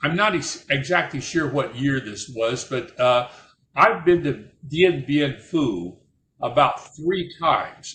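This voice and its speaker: In an American accent, a man talks at a fairly slow pace, his fairly high voice carrying a bright, sharp tone. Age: 80s+. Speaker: war veteran. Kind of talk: personal storytelling. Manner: halting, repeats words.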